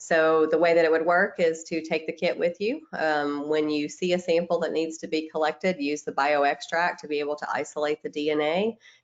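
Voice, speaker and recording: A woman with a Tennessee accent, very deep and low in pitch, fairly even in intonation, at a fairly quick pace with hardly any pauses. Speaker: microbiologist presenting webinar. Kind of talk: webinar presentation. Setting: online webinar.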